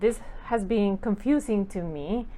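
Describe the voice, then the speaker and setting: With a Spanish accent, a woman talks at a medium pitch and with lively intonation. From Costa Rica. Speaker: professor. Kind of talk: course welcome talk.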